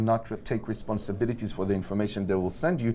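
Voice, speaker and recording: A man with an Israeli accent is heard in a very clean recording with a silent background. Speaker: tech company executive. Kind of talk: interview at a conference. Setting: conference venue.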